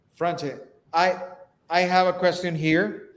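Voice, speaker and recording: This man speaks in a high pitch with a Spanish accent. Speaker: real estate live stream host. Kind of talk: live stream interview.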